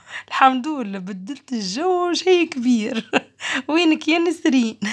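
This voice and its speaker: Very wide pitch swings from a woman speaking fairly slowly. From Tunisia. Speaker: lifestyle vlogger. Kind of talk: casual vlog chat. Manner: animated.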